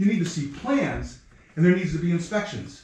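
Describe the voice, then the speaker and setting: Loud and animated, a man speaks with audible room echo around him. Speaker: resident speaking at public comment. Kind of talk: heated public comment at town meeting. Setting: town board meeting.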